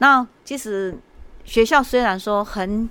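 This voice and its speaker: A woman's voice with ordinary pitch variation on a very clean recording with a silent background. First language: Hokkien or Mandarin (learned Hakka by marriage) (speaking Chinese). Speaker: elementary school principal. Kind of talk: interview. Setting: school, on location. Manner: hesitant, many fillers.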